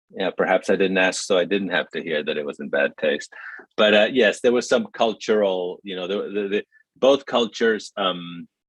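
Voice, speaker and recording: Recorded dry and close with no echo, a man with a Spanish accent speaks at a moderate pace. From Mexico City, Mexico. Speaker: writer and film director. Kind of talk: panel conversation. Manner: reflective, halting with fillers.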